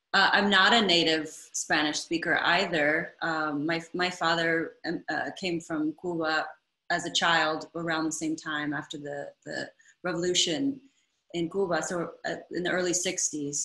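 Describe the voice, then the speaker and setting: At a fairly slow pace, a woman talks with fairly even intonation. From US Midwest, Ann Arbor, Michigan. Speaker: interviewer, theatre director and choreographer. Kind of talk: interview conversation.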